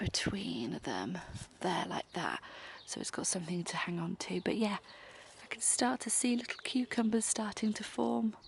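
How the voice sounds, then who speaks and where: Soft-spoken, a woman with a British accent talks at a fairly slow pace with medium pitch and lively intonation. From UK. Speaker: homemaking vlogger. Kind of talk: casual vlog narration. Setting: outdoors in garden.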